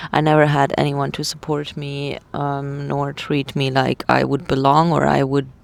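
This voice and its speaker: A woman's very deep, low voice, monotone and flat, at a fairly slow pace over noticeable background noise. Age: 30s. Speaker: vlogger sharing personal story. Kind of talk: personal vlog testimony. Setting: inside a tent. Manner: halting, many fillers.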